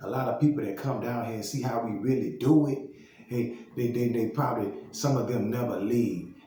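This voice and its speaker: A man with a Southern US accent talks at a moderate pace and medium pitch, with ordinary pitch variation. Noticeable background noise and audible room echo fill the recording. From Louisiana, Baton Rouge. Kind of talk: casual monologue vlog. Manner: halting, many repetitions and fillers.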